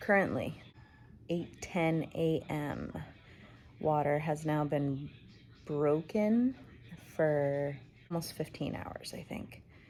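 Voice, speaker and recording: Quiet and very deep in pitch, a woman speaks with lively intonation and long, frequent pauses. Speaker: vlogger. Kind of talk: personal vlog. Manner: quiet, keeping voice down.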